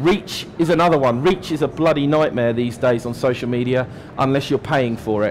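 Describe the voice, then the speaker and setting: The speaker is a man with a British accent. He talks fairly quickly. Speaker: digital marketing strategist giving a talk. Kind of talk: conference talk. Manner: many fillers, hesitant.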